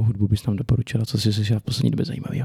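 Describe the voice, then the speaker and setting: Somewhat breathy and medium in pitch, a man speaks with a dark, mellow tone in a dry, close sound with no echo. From northern Bohemia, Czechia (Litoměřice area). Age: 20s. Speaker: podcast host and protestant preacher. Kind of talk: casual chat.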